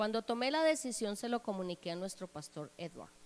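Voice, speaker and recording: Her voice a plain, everyday voice, a woman speaks at a moderate pace with fairly high pitch and lively intonation. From Colombia, Bogotá. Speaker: church member giving testimony. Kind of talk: testimony. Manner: formal.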